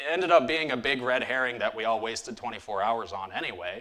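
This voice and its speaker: This man has a Midwestern accent. His medium pitch shows ordinary variation. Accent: Midwest US. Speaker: cybersecurity incident responder. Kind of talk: conference talk. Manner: casual, frequent fillers.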